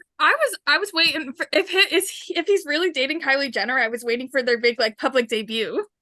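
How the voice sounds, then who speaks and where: A woman's high, raised, projected voice at a very fast pace, with lively intonation, hardly any pauses, and a dry, close sound with no echo. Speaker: podcast co-host. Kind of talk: casual chat. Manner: loud.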